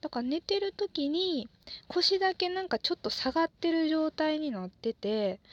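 In a Kansai accent, a woman speaks at a moderate pace in a relaxed tone, her extremely high voice making very wide pitch swings, with a dry, close sound and no echo. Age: 20s. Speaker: podcaster, office worker. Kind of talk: solo monologue, casual. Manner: relaxed, halting with fillers.

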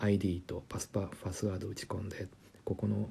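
Speaking at a moderate pace, a man with a fairly low pitch sounds somewhat breathy, with a dark, mellow tone, in a very clean recording with a silent background. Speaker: German language lecturer. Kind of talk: casual educational talk.

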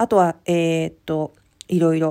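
A woman speaks fairly quickly in a dark, mellow tone on a very clean recording with a silent background. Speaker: podcast host. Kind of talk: casual solo talk. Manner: hesitant with many fillers.

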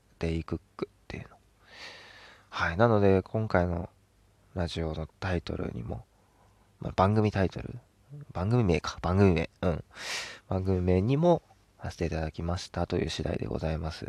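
A man with a very deep, low pitch talks at a moderate pace with ordinary pitch variation, big swings in loudness and long, frequent pauses, in a dry, close sound with no echo. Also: very clean recording, silent background. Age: 20s. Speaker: podcast host. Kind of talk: casual solo talk. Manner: animated, frequent laughter.

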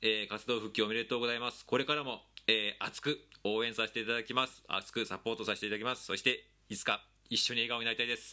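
In an animated, bright and sharp tone, a man talks at a very fast pace with medium pitch. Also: very clean recording, silent background. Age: 40s. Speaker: podcast host. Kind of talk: casual monologue.

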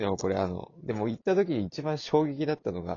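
Here a man talks at a fairly quick pace. His medium-pitched voice shows very wide pitch swings. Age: 20s. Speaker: podcast host. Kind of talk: casual chat.

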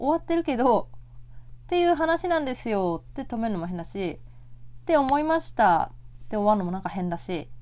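Speaking calmly at a fairly quick pace, a woman with a fairly high pitch makes very wide pitch swings and big swings in loudness, on a very clean recording with a silent background. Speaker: podcast host; office worker. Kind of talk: solo casual talk. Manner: soft-spoken.

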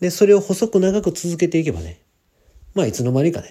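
A man speaks at a very fast pace in a dark, mellow, somewhat breathy tone with very wide pitch swings. The recording is very clean, with a silent background. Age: 40s. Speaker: podcaster and part-time trader. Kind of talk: solo podcast monologue. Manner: casual, many filler words.

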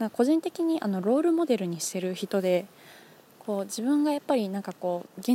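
A woman's lively intonation comes through in a dry, close sound with no echo. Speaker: podcast host. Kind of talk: solo talk. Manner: fast.

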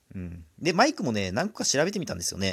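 A man with very wide pitch swings, on a very clean recording with a silent background. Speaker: solo podcaster. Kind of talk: casual solo talk. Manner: rambling, self-correcting.

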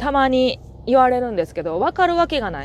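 A woman with a Kansai accent speaks at a moderate pace in a high voice that swings very widely in pitch, on a very clean recording with a silent background. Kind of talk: casual monologue. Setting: in a car while driving. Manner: usually loud, keeping voice down today. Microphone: new earphone mic.

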